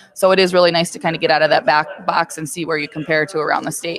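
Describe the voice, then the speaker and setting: A woman's fairly low-pitched voice at a fairly quick pace, in a dry, close sound with no echo. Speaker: high school girls basketball coach. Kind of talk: radio interview. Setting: radio studio. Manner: loud voice.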